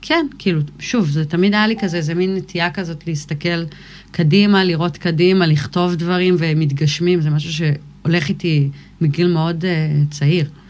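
Fairly even intonation and a moderate pace from a woman with an ordinary speaking voice and a fairly low pitch. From Israel, Galilee (Kfar Vradim). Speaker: musician, rapper. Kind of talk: casual interview.

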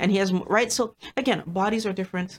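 A woman talks at a moderate pace in a medium pitch. It is an ordinary speaking voice, recorded dry and close with no echo. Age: 50s. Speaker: psychologist and health video host. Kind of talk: direct-to-camera health talk. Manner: conversational.

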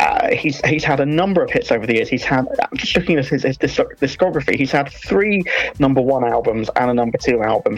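Noticeable background noise fills the clip. A woman talks over it at a fairly quick pace. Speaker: music reviewer. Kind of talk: radio review segment.

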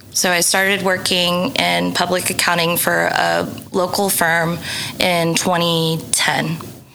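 Very slow and monotone, with flat intonation and very even loudness, a voice with an American accent comes through audible room echo and noticeable background noise. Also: woman, fairly low pitch for a woman. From Oklahoma City, US. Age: 30s. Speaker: food blogger. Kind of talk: casual chat.

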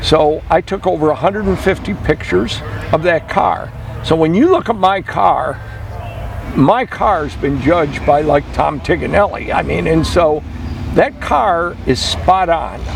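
The speech comes at a very slow pace with an American accent. Noticeable background noise is present. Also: man. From US Midwest. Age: 70s. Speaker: classic car collector and restorer. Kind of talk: casual radio interview.

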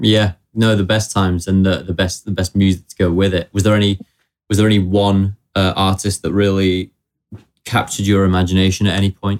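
Fairly low in pitch and monotone, a man talks at a fairly quick pace with very even loudness, recorded dry and close with no echo in a very clean recording with a silent background. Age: 20s. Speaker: podcast host. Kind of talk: casual interview chat. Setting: studio.

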